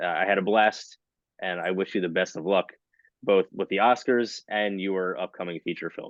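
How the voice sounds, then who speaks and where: A man's ordinary speaking voice, fairly low in pitch, at a moderate pace with fairly even intonation. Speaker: film reviewer interviewer. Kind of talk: interview.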